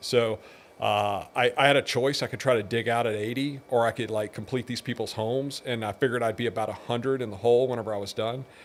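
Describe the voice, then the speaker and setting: Medium in pitch, a man talks at a very fast pace with ordinary pitch variation. The recording is very clean, with a silent background. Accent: American. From Texas, Pasadena. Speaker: businessman. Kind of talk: interview.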